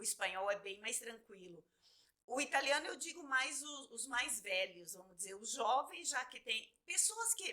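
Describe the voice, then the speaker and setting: In a Brazilian accent, a woman speaks at a high pitch and fairly slow pace, her bright, sharp tone marked by very wide pitch swings and big shifts in loudness. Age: 50s. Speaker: photographer. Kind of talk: interview. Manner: hesitant, repeats words.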